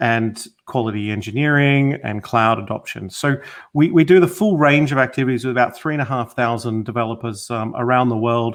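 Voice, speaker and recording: With a slight Australian accent, a man talks at a medium pitch. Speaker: technology consultant. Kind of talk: interview. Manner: halting, many fillers.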